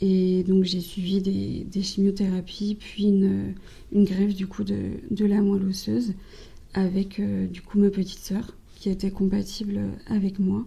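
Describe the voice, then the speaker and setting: A woman with a medium pitch speaks in a somewhat breathy, dark, mellow tone with monotone, flat intonation. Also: fairly slow pace. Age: 20s. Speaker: cancer survivor, communications officer. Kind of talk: interview testimony. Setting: podcast interview.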